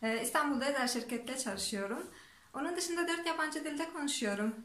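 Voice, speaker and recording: Audible room echo surrounds a woman speaking with a Turkmen accent and ordinary pitch variation. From Turkmenistan. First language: Turkmen (speaking Turkish). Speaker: vlogger. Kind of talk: self-introduction to camera in four languages. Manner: halting, with fillers and restarts.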